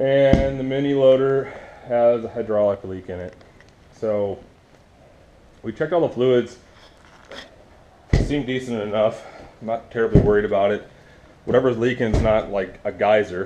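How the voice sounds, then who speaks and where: Speech comes at a moderate pace with long, frequent pauses, big swings in loudness and ordinary pitch variation over noticeable background noise. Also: man. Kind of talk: casual vlog chat. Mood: relaxed, joking. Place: home room. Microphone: phone near.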